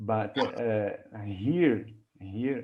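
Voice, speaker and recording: A man's fairly low voice at a very slow pace. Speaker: mathematics researcher giving a conference talk. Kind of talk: academic lecture; Q&A discussion. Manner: halting, many repetitions.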